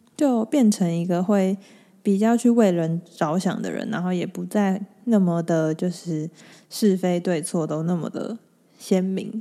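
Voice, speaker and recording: A woman speaks at a fairly slow pace with a dark, mellow tone. Her medium pitch shows ordinary variation, on a very clean recording with a silent background. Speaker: podcast host and hypnotherapist. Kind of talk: solo podcast talk. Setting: home recording. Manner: steady, even rhythm.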